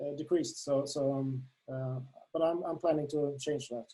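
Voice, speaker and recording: A man speaks in a Swedish accent with a dark, mellow tone at a fairly high pitch. His pace is moderate and his pitch variation ordinary. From Sweden. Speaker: darts app creator. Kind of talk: interview. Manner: halting, many fillers.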